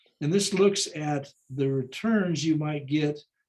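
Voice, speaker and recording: Fairly high, somewhat breathy male voice. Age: 80s+. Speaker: financial planning presenter. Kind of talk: lecture. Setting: video call. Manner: halting.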